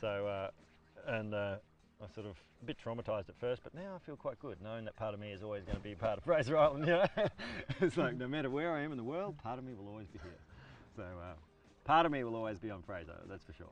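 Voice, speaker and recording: A man with an Australian accent talks at a very fast pace and a medium pitch, with very wide pitch swings. His loudness swings widely, and he leaves long, frequent pauses. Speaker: park ranger and guide. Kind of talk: casual interview. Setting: outdoors on a lake beach.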